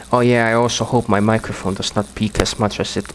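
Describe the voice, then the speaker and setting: A man speaks in a flat monotone at a fairly low pitch with a non-native accent. Noticeable noise can be heard behind him. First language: not English. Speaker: gaming commentator. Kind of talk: gameplay commentary. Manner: halting.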